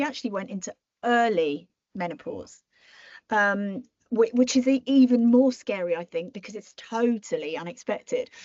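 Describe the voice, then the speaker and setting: With a British accent, a woman talks at a moderate pace in a fairly high pitch, her intonation lively and her loudness swinging widely. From Britain. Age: 60s. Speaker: marketing strategist and entrepreneur. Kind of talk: podcast interview.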